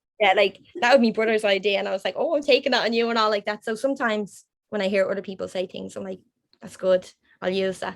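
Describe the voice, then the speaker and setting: A woman with an Irish accent, medium in pitch, at a very fast pace. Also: ordinary pitch variation. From Ireland. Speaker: graphic designer. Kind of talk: podcast interview answer.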